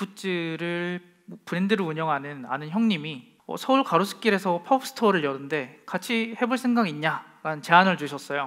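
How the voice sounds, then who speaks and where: The man's pitch is high. He keeps a moderate pace with hardly any pauses. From South Korea, Masan (South Gyeongsang). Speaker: local brand founder, speaker. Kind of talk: stand-up lecture talk. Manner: frequent filler hesitations.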